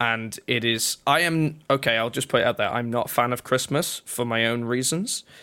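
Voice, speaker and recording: A man speaks with a Yorkshire accent and a bright, sharp tone. His pitch varies in an ordinary way. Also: medium pitch for a man, moderate pace, hardly any pauses. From northern England, North Yorkshire. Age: 20s. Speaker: twitch streamer and drummer. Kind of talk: casual interview chat. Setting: remote call.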